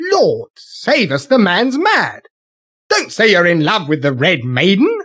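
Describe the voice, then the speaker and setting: At a fairly slow pace, a put-on character voice holds its loudness very even. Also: man, high pitch for a man. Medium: read story. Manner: brash, exclamatory.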